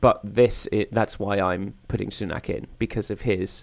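Someone with an English accent talks at a moderate pace. The recording is very clean, with a silent background. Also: man. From England. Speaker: political podcast co-host. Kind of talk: casual chat.

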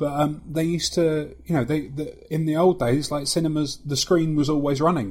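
The voice is somewhat breathy, moving at a moderate pace with hardly any pauses. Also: man, fairly high pitch for a man. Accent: slight London. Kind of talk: casual chat.

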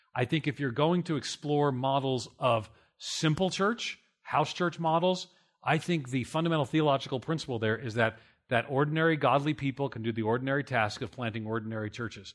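With an American accent, a man talks at a fairly quick pace and a fairly high pitch in a very clean recording with a silent background. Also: ordinary pitch variation. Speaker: church planting researcher and pastor. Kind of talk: conference panel discussion. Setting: stage with audience. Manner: loud; fast talker.

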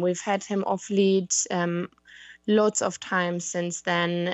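A woman talks with a German accent. Her pitch is medium and her pace fairly slow. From Germany. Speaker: dog owner asking for advice. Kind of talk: casual chat. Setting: Skype call.

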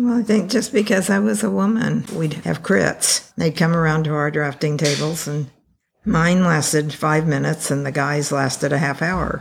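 With an American accent, a woman talks at a moderate pace in a very deep, low voice, her intonation lively and marked by vocal fry. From California (Taft, Central Valley). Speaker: retired architect. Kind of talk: interview.

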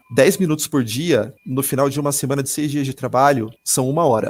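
A man talks at a fairly high pitch. The recording is very clean, with a silent background. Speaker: podcast host on assistive technology. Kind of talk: casual tech podcast with demonstrations.

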